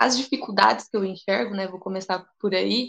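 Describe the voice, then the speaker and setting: A woman's normal speaking voice at a medium pitch. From Brazil, interior of São Paulo state. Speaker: physical education professional and dance teacher. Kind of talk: casual discussion.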